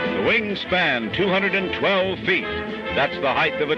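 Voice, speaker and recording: Clear music plays in the background while the voice moves at a moderate pace, the sound dry with no echo. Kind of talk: newsreel narration. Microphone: old recording.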